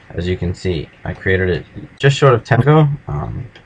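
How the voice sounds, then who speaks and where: Through noticeable background noise, a man with a very deep, low voice speaks at a fairly slow pace with very wide pitch swings. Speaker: language learning tutorial maker. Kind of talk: tutorial. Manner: casual, hesitant with fillers.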